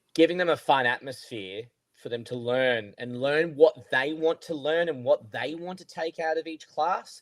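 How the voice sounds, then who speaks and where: A man with a fairly high pitch speaks in an Australian accent at a moderate pace, with ordinary pitch variation and big swings in loudness. The recording is very clean, with a silent background and a dry, close sound with no echo. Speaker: golf coach. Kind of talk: casual chat.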